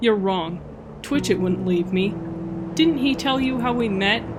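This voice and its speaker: With clear background noise behind him, a man uses a put-on character voice, pitched high for a man and delivered at a moderate pace. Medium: read story. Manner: shrill, scolding.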